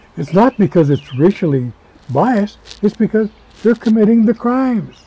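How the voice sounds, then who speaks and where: A high-pitched man at a moderate pace, with very wide pitch swings and long, frequent pauses, in a dry, close sound with no echo and noticeable background noise. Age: 80s+. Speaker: retired prison warden. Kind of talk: interview answer.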